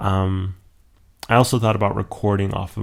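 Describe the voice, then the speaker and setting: In a very clean recording with a silent background, a man uses a normal speaking voice, fairly low in pitch with ordinary pitch variation. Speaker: YouTuber. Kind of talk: casual vlog talk. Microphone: new dedicated microphone, close.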